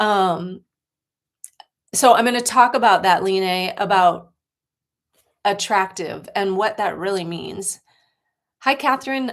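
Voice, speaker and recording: A woman with an American accent speaks very slowly at a medium pitch, leaving long, frequent pauses. Her pitch varies in an ordinary way. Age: 60s. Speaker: life coach. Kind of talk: livestream talk. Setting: livestream.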